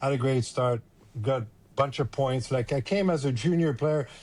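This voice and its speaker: A man speaks at a moderate pace, his voice somewhat breathy. The recording is very clean, with a silent background. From Quebec, Montreal. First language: French. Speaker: former hockey player and scout. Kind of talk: casual interview.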